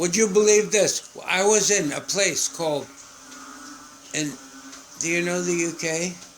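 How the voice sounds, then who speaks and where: A man with a high pitch speaks at a fairly slow pace with fairly even intonation. Long, frequent pauses punctuate his speech amid noticeable background noise. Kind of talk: casual chat. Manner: halting.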